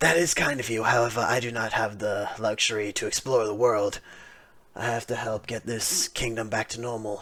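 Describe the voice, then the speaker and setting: Putting on a raspy character voice, a man talks at a moderate pace and medium pitch with fairly even intonation. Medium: actual play. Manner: formal, measured.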